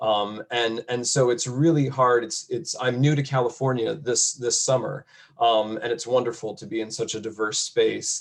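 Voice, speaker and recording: A man with an American accent and a plain, everyday voice talks at a medium pitch and moderate pace, with ordinary pitch variation and hardly any pauses. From upstate New York (near Syracuse). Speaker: college educator. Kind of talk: panel discussion.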